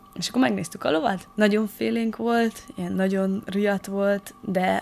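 A woman's medium-pitched voice comes through noticeable background noise. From Transylvania, Szekler region (Romania). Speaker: interview guest. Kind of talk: radio interview.

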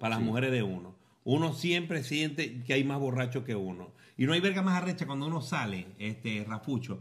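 Audible room echo surrounds speech with lively intonation. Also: man, medium pitch for a man, fairly quick pace. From Venezuela, Falcón. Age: 40s. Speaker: podcast host, former radio presenter. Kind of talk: casual chat over drinks. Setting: home. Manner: animated.

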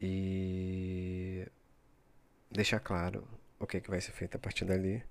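A man with a very deep, low pitch speaks very slowly in a monotone, flat way. He takes long, frequent pauses on a very clean recording with a silent background. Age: 30s. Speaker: podcaster. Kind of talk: solo reflective monologue. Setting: recording at midnight. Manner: hesitant, many fillers.

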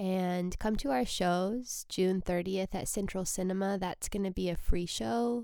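A woman speaks at a medium pitch and a moderate pace, with ordinary pitch variation and a relaxed, soothing tone. The recording is very clean, with a silent background. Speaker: comedian and podcast host. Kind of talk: solo casual monologue. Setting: alone in a basement room. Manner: relaxed, usually soothing.

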